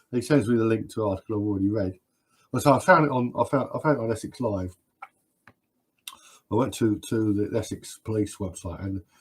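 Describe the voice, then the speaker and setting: A man with a British accent talks at a very fast pace. His medium-pitched voice is somewhat breathy, with ordinary pitch variation. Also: long, frequent pauses. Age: 60s. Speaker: live stream host. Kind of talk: live stream Q&A chat. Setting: live stream. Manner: halting with frequent repetitions.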